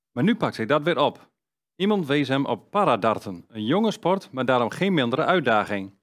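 Very wide pitch swings at a moderate pace, over a quiet background. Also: man. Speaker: news presenter. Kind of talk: news reading. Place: studio. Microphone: headset.

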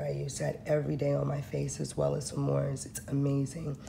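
Noticeable noise in the background behind a woman's moderately paced speech. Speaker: handmade skincare maker. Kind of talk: casual product talk to camera. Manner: sleepy; casual, relaxed. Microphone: phone near.

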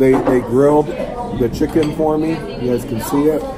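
There is crowd noise in the background as a man speaks. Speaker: food vlogger. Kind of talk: casual food review vlog. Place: cafe. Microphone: phone near.

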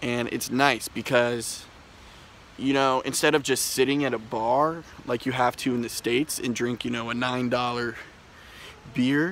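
A man with an American accent speaks at a fairly slow pace in a relaxed tone with fairly even intonation and long, frequent pauses. The sound is dry with no echo and carries light background noise. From US, Washington D.C. area. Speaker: vlogger. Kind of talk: casual vlog talk to camera. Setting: outdoors, walking in the street. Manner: laid-back, relaxed. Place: garden. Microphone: phone near.

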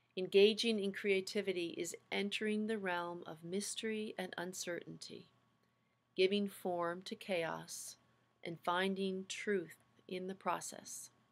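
Calm and soothing in tone, a woman speaks fairly slowly with monotone, flat intonation. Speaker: seminary faculty lecturer. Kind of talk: lecture with a guided visualization segment. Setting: video lecture. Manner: slow, calm, soothing guided-meditation pacing; explanatory, friendly, welcoming. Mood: calm, reflective. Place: home room. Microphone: webcam.

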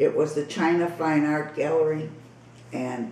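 A woman's voice has a very deep, low pitch. Audible room echo and light background noise surround it. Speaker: artist. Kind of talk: casual chat. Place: home room. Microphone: camera far.

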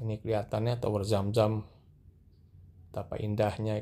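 A man's dark, mellow voice at a fairly low pitch, with little pitch movement and a moderate pace, on a very clean recording with a silent background

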